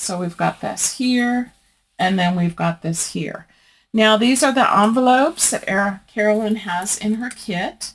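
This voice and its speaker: This woman has a fairly high pitch, ordinary pitch variation and a somewhat breathy voice. She speaks at a fairly slow pace on a very clean recording with a silent background. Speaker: crafting YouTuber. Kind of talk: craft tutorial. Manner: casual, conversational.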